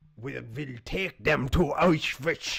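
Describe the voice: In a German accent, a man puts on a raspy character voice pitched fairly high.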